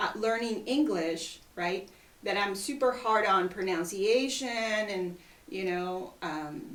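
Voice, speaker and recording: Speaking with a Mexican accent and lively intonation, a woman goes at a very slow pace amid noticeable background noise and audible room echo. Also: medium pitch for a woman. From Mexico. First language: Spanish. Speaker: real estate agent. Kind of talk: casual chat.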